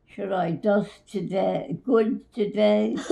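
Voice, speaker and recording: A woman's dark, mellow voice with vocal fry, at a very slow pace. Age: old. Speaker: grandmother being interviewed. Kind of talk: casual interview answers recalling the past.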